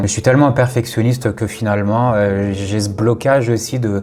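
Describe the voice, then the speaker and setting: A man speaks fairly quickly with a fairly low pitch and fairly even intonation. Noticeable background noise runs underneath. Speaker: content creator. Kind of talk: personal vlog monologue. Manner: hesitant, many fillers.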